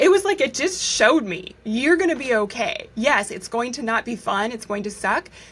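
Noticeable background noise sits behind a woman talking with an American accent. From United States. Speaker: medical journalist and author. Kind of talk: interview conversation.

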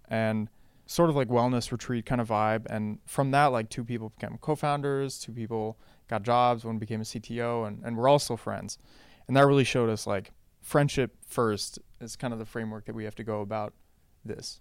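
A man with an American accent and an unremarkable speaking voice, medium pitch, fairly even intonation, a fairly quick pace and big swings in loudness, on a very clean recording with a silent background. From international, US and Western Europe. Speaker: startup co-founder. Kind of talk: interview. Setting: office.

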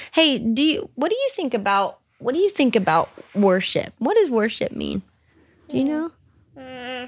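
In an American accent, a woman with a high voice speaks at a fairly slow pace, her pitch swinging very widely. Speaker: worship leader and singer. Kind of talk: casual interview chat. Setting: home studio.

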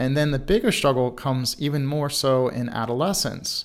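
The speaker has a normal speaking voice with an American accent and ordinary pitch variation. The pace is fairly quick, and the recording is very clean with a silent background. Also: man. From Baltimore, Maryland. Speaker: sports mental performance coach. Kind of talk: solo podcast monologue.

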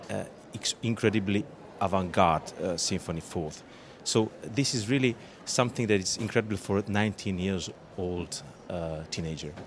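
A man with a fairly low voice speaks at a moderate pace with ordinary pitch variation and long, frequent pauses. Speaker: orchestra conductor. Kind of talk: interview. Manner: halting, many fillers.

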